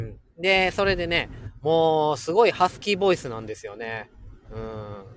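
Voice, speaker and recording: With a slight Kansai accent, a man talks in an animated tone at a moderate pace. His fairly high pitch swings very widely, and his loudness rises and falls sharply. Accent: mild Kansai dialect. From Kansai, Kobe (Hyogo). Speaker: livestream host, schoolteacher. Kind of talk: casual live stream chat with listeners. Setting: in a car. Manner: animated, frequent laughter.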